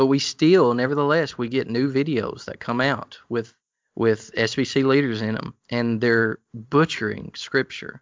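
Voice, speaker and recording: Intonation stays fairly even in this recording. The speaker is a man in a Southern US accent. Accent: Southern US, hillbilly. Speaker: co-host, pastor and theologian with a PhD.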